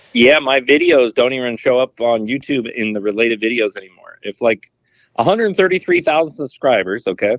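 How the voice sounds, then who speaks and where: A man with a Californian accent talks at a fairly quick pace. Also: medium pitch for a man. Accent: Californian American. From California, San Francisco Bay Area. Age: 40s. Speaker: fishing youtuber. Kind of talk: podcast interview.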